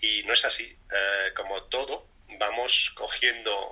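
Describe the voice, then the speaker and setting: A man is talking. Noticeable background noise runs beneath his voice. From Spain. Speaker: breathing and fitness coach. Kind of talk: interview.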